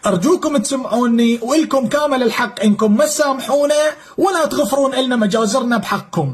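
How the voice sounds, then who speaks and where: A man's extremely high-pitched voice at a moderate pace, with very even loudness, ordinary pitch variation and noticeable background noise. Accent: southern Iraqi. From Iraq. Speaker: former militia fighter. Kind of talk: testimony.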